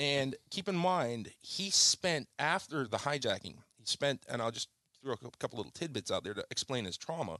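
Moderate pace, vocal fry, lively intonation and a bright, sharp tone. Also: man, fairly high pitch for a man. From Jamaica, Kingston. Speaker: charter fisherman. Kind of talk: testimony.

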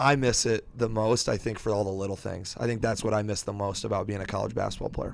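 Very fast, fairly low-pitched man with an American accent, fairly even intonation and hardly any pauses. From Iowa, US Midwest. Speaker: high school English teacher, former college basketball player. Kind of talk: casual chat. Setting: coach's office.

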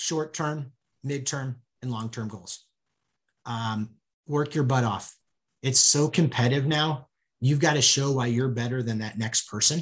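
Man with an American accent, somewhat breathy and medium in pitch, at a fairly slow pace with long, frequent pauses and ordinary pitch variation. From US Midwest, St. Louis. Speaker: sports business executive. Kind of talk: interview. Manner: repeats words, hesitant starts.

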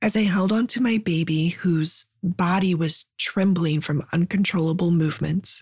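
The voice is somewhat breathy, with ordinary pitch variation and very even loudness. Hardly any pauses break the speech, and the sound is dry and close with no echo. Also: woman, fairly low pitch for a woman, moderate pace. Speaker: storyteller. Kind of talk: personal story told aloud.

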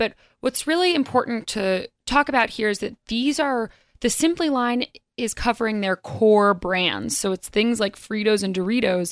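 This is a woman with an unremarkable speaking voice and a fairly high pitch. The recording is very clean with a silent background, and the sound is dry and close with no echo. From North Carolina. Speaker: business reporter. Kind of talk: radio interview. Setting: studio.

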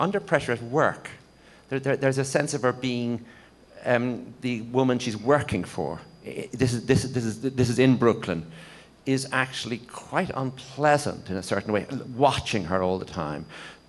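A man with an Irish accent talks at a moderate pace and medium pitch. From Ireland. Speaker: novelist. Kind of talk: press conference panel. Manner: halting.

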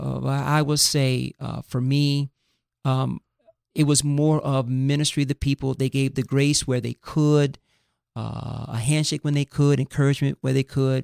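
A fairly high-pitched man with an American accent, monotone and flat in intonation, at a moderate pace, on a very clean recording with a silent background and a dry, close sound with no echo. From US South, Fort Lauderdale, Florida. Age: 50s. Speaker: pastor. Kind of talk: casual interview.

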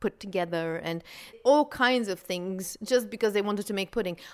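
A woman speaks with a Dutch accent in a medium pitch with ordinary pitch variation. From Belgium, Flanders. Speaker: food historian. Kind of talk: interview.

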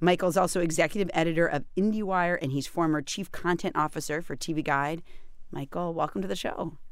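In a normal speaking voice with an American accent, a woman talks at a fairly quick pace and a fairly low pitch, with ordinary pitch variation. The recording is very clean, with a silent background. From US New England. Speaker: radio host. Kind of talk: radio interview.

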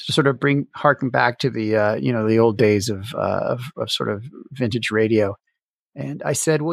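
With a Canadian accent, a man talks in a normal speaking voice at a moderate pace with ordinary pitch variation. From Canada. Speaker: jazz musician and podcast producer. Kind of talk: interview.

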